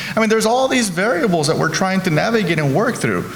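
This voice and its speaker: A high-pitched man with a Spanish accent, amid audible room echo and noticeable background noise. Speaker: healthcare executive. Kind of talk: panel discussion. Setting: stage with audience.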